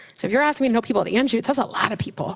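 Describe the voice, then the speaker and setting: High-pitched speech from a woman, with noticeable background noise. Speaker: career services staff presenter. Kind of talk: seminar presentation. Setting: room with student audience. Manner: fast.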